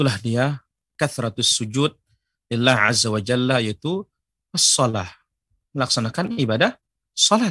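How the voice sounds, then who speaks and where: Here a man talks at a moderate pace and medium pitch, his intonation lively. His tone is bright and sharp, and the sound is dry and close without echo. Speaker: Islamic preacher. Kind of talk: religious lecture; Q&A answering viewer questions. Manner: formal.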